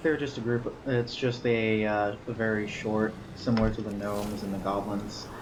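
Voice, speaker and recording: A man speaks at a moderate pace with fairly low pitch and fairly even intonation, hardly pausing, over noticeable background noise with audible room echo. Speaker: gaming video creator. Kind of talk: gameplay commentary. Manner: monotone.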